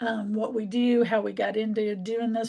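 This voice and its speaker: In a normal speaking voice, a woman with a fairly high pitch talks at a moderate pace. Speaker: community organizer. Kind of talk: online workshop presentation.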